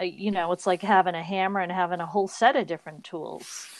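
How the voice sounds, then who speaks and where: The speaker has a slight Boston accent, heard against a quiet background. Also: woman. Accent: barely noticeable Boston. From Boston, US. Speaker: podcast co-host. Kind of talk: casual chat. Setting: remote recording over internet call.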